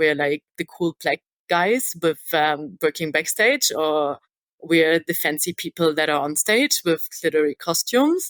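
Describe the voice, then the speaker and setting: With a German accent, a woman speaks in a very deep, low pitch at a moderate pace. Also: dry, close sound with no echo. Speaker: stage manager. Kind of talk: podcast interview. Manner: hesitant, many fillers.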